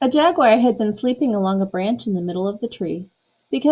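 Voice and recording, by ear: In a quiet setting, the words are read aloud in a natural voice.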